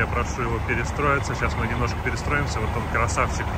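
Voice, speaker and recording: A man is speaking with audible room echo. Noticeable background noise runs under his voice. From Russia, Togliatti. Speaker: truck driver vlogger. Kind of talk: casual vlog narration. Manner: animated.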